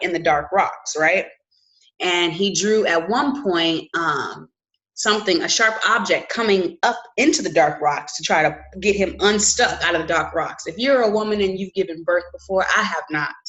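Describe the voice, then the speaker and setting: A woman speaks at a moderate pace and medium pitch. Her intonation is lively. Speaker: mental health vlogger. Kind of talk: solo video talk on mental health. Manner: halting, many fillers and restarts.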